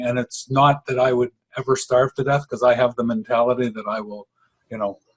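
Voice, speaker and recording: The voice is somewhat breathy and moves at a moderate pace. The sound is dry and close, without echo. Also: man. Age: 60s. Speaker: interviewee, retired tradesman and businessman. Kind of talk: interview.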